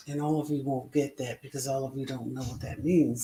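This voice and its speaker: The voice is somewhat breathy, with a dark, mellow tone, and moves at a moderate pace. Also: woman. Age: 60s. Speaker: life coach and podcast host. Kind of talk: motivational talk. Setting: Facebook live video. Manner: casual, conversational.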